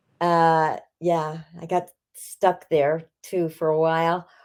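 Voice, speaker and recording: This woman talks very slowly in a fairly low pitch. Her intonation stays flat and monotone. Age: 80s+. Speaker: former stuntwoman, dancer and entertainer. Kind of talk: interview. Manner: halting.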